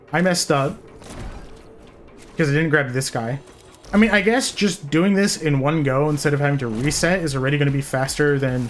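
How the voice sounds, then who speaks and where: Fairly quick speech broken by long, frequent pauses, with noticeable background noise. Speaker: video game streamer. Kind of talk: live gameplay commentary. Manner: fast.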